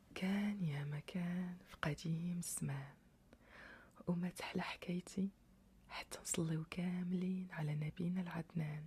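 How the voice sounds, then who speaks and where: Soft-spoken and calm, a very slow voice with a Moroccan accent. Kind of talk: sleep story. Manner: calm, soft-spoken.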